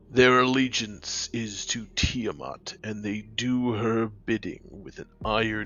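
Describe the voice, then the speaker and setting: Putting on a character voice, a man speaks at a medium pitch and a fairly slow pace. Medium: audio drama. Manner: cold, terse, formal.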